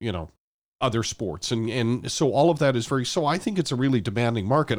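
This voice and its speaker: A man's normal speaking voice, medium in pitch, with a Canadian accent, in a very clean recording with a silent background. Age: 50s. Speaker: sports radio host and former football communications staffer. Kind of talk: casual interview.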